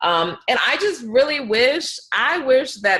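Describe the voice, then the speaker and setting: With an American accent, a woman speaks in a bright, sharp tone, her pitch swinging very widely. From US Midwest, Detroit, Michigan. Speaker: world traveler. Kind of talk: podcast interview. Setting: remote interview from home.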